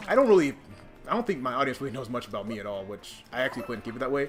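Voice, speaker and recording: A man with a non-native accent talks at a very fast pace and medium pitch. Music plays in the background. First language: not English. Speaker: gaming streamer. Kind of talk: casual chat. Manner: halting, many fillers and restarts.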